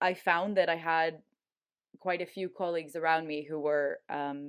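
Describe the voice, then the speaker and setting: Speaking with an American accent, a woman of fairly low pitch talks at a moderate pace with ordinary pitch variation, recorded very cleanly against a silent background. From US Pacific Northwest (Portland, Oregon). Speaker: climate migration researcher. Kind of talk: interview. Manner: frequent fillers and repetitions.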